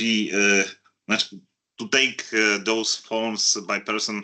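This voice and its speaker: A man with a non-native accent speaks in a bright, sharp tone. The background is quiet. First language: not English. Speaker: audience member. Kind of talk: audience Q&A. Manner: halting, many hesitations.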